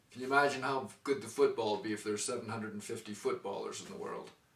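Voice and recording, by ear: Room echo can be heard as a man talks at a fast pace. His pitch is fairly low. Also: ordinary pitch variation.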